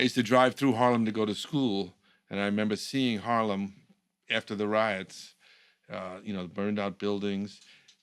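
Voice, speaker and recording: In an ordinary speaking voice, a man talks at a moderate pace with fairly low pitch and fairly even intonation. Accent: American. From New York. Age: 60s. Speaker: communications professional, former political speechwriter. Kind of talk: casual conversation.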